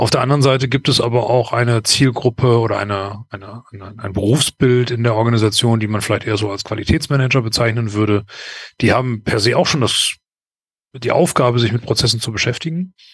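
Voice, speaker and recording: A man's fairly quick, somewhat breathy speech, with fairly even intonation. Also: medium pitch for a man. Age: 40s. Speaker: process management consultant. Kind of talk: interview. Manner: hesitant, many filler sounds.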